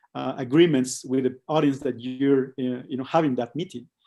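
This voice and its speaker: A man speaks in a dark, mellow tone at a moderate pace. His pitch varies in an ordinary way against a quiet background. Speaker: creative studio co-founder, tech director. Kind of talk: talk / presentation in online meetup. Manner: halting, many fillers and repetitions.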